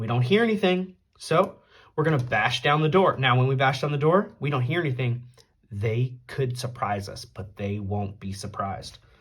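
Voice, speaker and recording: In a very clean recording with a silent background, a man speaks at a moderate pace, somewhat breathy, his pitch swinging very widely. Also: medium pitch for a man. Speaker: tabletop game player and video creator. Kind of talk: solo tabletop game playthrough narration. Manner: casual, conversational.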